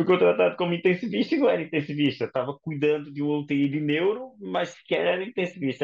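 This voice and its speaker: Very fast speech comes from a man whose pitch sits fairly high. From Brazil, Paraíba. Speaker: intensive care doctor. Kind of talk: interview.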